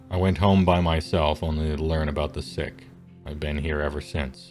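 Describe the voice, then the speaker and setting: A man's put-on character voice, gruff and very deep, at a moderate pace over clear music in the background. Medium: actual play. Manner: distrustful, gruff.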